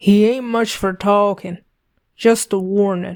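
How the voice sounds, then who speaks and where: A woman's put-on character voice, medium in pitch, monotone and flat, at a fairly slow pace. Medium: read story. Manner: blunt, terse.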